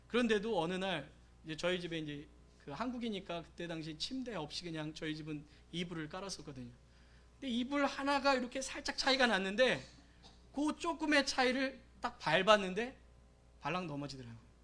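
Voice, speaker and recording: Speaking at a fairly quick pace with long, frequent pauses, the voice has a bright, sharp tone, very wide pitch swings and big swings in loudness, with audible room echo. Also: man, high pitch for a man. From South Korea, Gyeonggi Province. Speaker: pastor. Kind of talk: sermon.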